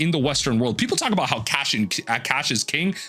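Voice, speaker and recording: The voice belongs to a man and has vocal fry. Its pitch moves up and down over a very wide range. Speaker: gaming and card game commentator. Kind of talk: opinion monologue. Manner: halting, with fillers.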